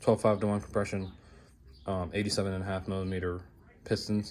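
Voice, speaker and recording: A fairly low-pitched man's monotone, flat voice amid audible room echo. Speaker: car builder vlogger. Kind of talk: casual garage vlog. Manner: fast.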